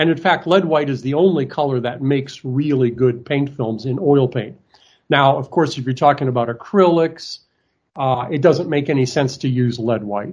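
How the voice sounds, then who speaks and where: There is a quiet background as a man speaks at a moderate pace. He has an unremarkable speaking voice, fairly high in pitch, with ordinary pitch variation. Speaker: art supplies manufacturer. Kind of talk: interview. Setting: video call.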